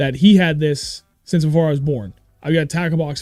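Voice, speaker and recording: Over music in the background, a man talks at a fairly high pitch with ordinary pitch variation. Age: 30s. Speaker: fishing show host. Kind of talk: casual chat. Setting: livestream. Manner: animated.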